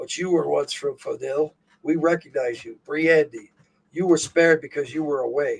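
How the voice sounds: A man's put-on character voice, raspy and fairly high in pitch, at a moderate pace.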